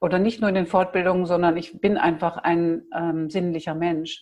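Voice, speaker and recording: Monotone, flat intonation from a woman pitched fairly low. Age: 60s. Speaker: massage and touch practitioner. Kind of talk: interview.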